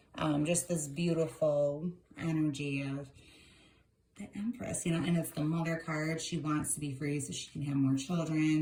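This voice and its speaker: A woman's very deep, low voice at a fairly quick pace, with noticeable background noise. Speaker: tarot reader. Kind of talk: tarot reading video, casual commentary. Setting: home video recording, on camera. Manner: fast; animated.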